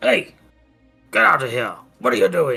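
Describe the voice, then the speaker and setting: Over faint music in the background, a man does a put-on character voice at a moderate pace. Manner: shouting, startled.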